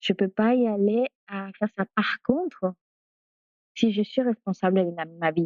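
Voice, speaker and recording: A woman at medium pitch speaks at a fairly slow pace, with long, frequent pauses. Her loudness swings a lot, while her pitch varies normally. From Peru. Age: 40s. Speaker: doula. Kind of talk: interview. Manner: halting.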